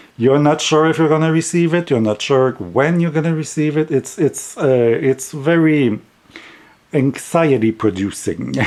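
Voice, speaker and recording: With a French accent, a man speaks at a fairly high pitch with ordinary pitch variation and very even loudness. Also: moderate pace. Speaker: tarot deck reviewer. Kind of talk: casual review vlog. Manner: halting, repeats words.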